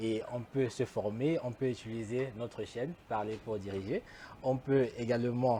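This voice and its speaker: The tone is dark, mellow and somewhat breathy. The pace is moderate, with fairly even intonation. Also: man. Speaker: talk show host. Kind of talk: interview.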